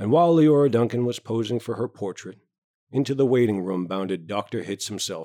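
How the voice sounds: In a natural reading voice with lively intonation, the speaker comes through over a quiet background.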